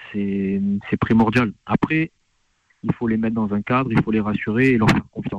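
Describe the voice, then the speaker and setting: A man with a plain, everyday voice talks at medium pitch and a moderate pace. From France. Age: 30s. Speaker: assistant football coach. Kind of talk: radio interview.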